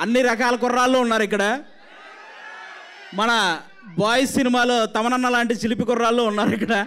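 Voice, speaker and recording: A man's extremely high-pitched voice in a passionate tone, monotone and flat in intonation, over noticeable background noise. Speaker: comedian and actor. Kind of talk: speech at a film trailer launch event. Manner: forceful, passionate.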